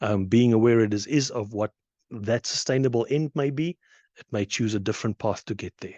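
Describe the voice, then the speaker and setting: With a South African accent, a man speaks at a medium pitch and a fairly quick pace, with ordinary pitch variation and a dry, close sound with no echo against a quiet background. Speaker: conference speaker. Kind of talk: conference presentation.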